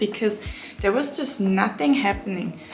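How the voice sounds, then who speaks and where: Over music in the background and with audible room echo, a woman of medium pitch speaks at a moderate pace with ordinary pitch variation. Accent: non-native. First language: not English. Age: 20s. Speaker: book vlogger. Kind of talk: book review vlog. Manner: casual, hesitant with fillers.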